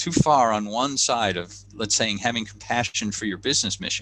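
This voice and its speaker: Talking at a moderate pace with an American accent, a man has a bright, sharp tone and vocal fry, heard in a very clean recording with a silent background. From United States. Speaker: leadership coach and author. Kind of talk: podcast interview. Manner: repetitive stammering restarts.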